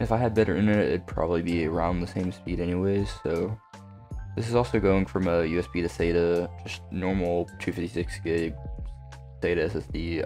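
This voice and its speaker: Moderate pace from a man with a very deep, low pitch, ordinary pitch variation, and faint music in the background. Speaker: tech hobbyist youtuber. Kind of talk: casual screen-recording commentary. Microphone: studio mic.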